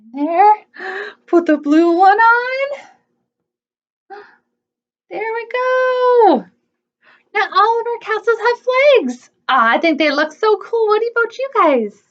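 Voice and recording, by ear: A woman speaks slowly at an extremely high pitch, leaving long, frequent pauses. Her intonation is lively.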